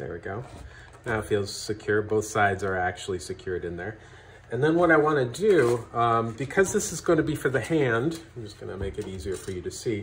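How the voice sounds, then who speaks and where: A man talks at a fairly quick pace with lively intonation. His loudness swings a lot, over light background noise. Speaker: craft instructor. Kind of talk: tutorial. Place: home room. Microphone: camera far.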